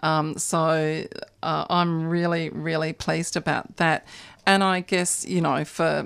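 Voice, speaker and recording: A woman with an Australian accent talks at a fairly slow pace. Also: very clean recording, silent background. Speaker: animal advocacy organiser. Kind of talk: radio interview. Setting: radio studio.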